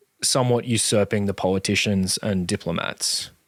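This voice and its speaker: In an unremarkable speaking voice, a man talks at a moderate pace with ordinary pitch variation, the sound dry and close with no echo. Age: younger than guest. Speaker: podcast interviewer. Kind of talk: interview conversation.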